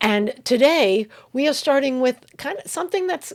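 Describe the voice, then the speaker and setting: In a New York accent, a woman speaks at a high pitch and a moderate pace, her pitch swinging very widely. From US Northeast, Long Island, New York. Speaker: podcast co-host. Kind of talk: casual chat.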